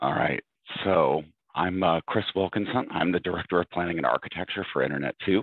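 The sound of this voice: A raspy, put-on character voice delivers its lines at a fairly quick pace. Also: man, very deep, low pitch for a man.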